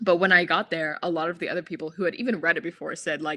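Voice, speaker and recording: A woman speaks with a fairly low pitch and a bright, sharp tone. The recording is very clean, with a silent background. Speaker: book youtuber. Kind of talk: live stream casual chat. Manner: halting, many fillers.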